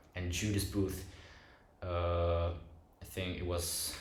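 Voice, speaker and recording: His voice is very deep and low. Audible room echo is present as the man speaks. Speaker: film review youtuber. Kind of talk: casual video essay monologue. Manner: halting, many fillers and restarts.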